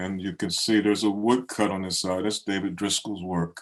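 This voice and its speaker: A man with an American accent and a fairly low pitch uses an ordinary speaking voice with fairly even intonation. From Baltimore, Maryland. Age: 60s. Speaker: poet. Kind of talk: poetry reading. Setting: video call.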